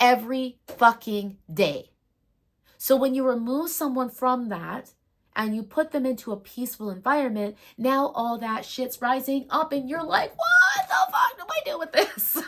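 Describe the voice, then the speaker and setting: Loud and high-pitched, a woman speaks fairly slowly with a bright, sharp tone and lively intonation. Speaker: spiritual medium and astrology storyteller. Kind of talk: personal storytelling monologue. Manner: emphatic, heated.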